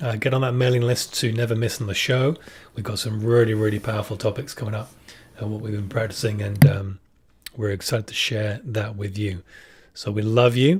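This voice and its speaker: A man with a British accent talks at a fairly quick pace, his voice somewhat breathy and his intonation fairly even. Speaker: podcast co-host. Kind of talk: live-streamed spiritual podcast chat. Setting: live stream with camera.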